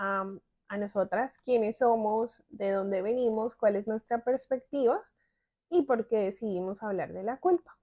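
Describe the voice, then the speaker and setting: In a Bogotá accent, a woman speaks at a fairly slow pace with a dark, mellow tone and a dry, close sound with no echo. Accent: Bogotá Colombian Spanish. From Colombia, Bogotá. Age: 30s. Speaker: podcast co-host. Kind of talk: casual conversational podcast. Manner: hesitant, many fillers.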